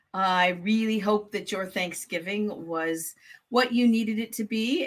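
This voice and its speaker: Her voice is an unremarkable speaking voice, a woman at medium pitch with fairly even intonation and a fairly slow pace. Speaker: grief therapist and podcast co-host. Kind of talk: casual chat. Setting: live recording.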